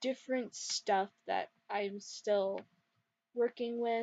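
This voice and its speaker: A quiet woman's voice with fairly even intonation. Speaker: gaming YouTuber. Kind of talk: gameplay commentary. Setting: dorm room at night. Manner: quiet, lowered voice; rambling, hesitant.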